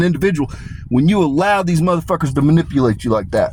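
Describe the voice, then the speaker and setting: A man with a high pitch talks at a very fast pace with lively intonation. Noticeable background noise runs underneath. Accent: American. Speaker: commentary video creator. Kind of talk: monologue reading prepared notes. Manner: casual, profane.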